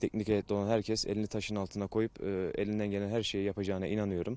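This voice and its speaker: A dark, mellow tone with flat, monotone intonation and a dry sound free of echo. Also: man. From Turkey. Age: 20s. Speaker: professional footballer. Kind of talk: interview. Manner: hesitant with many fillers. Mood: calm, measured. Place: stadium.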